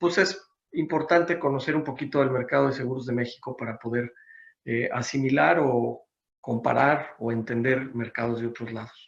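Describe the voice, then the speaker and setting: A man's medium-pitched voice with a Mexican accent, at a moderate pace. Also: ordinary pitch variation. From Mexico City. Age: 60s. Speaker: business consultant. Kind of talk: seminar presentation. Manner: hesitant with fillers.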